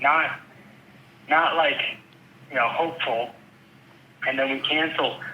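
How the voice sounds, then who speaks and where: A man with an American accent speaks at a fairly slow pace, with long, frequent pauses. Room echo is audible, and background noise is noticeable. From upstate New York (Rochester). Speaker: real estate agent. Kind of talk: phone call conversation. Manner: animated.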